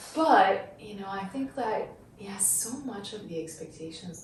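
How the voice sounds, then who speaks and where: A woman with a Persian accent at a moderate pace, lively intonation, audible room echo and noticeable background noise. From Iran. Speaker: psychotherapist. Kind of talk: casual chat.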